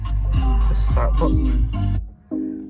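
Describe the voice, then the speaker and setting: A man with a Leeds accent over music in the background. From Leeds, England. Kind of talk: casual car review to camera. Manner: rambling, hesitant.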